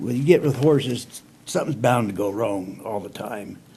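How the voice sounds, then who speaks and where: A man talks with lively intonation, noticeable noise present in the background. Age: 60s. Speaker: storyteller. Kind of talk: casual storytelling monologue. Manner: folksy, rambling.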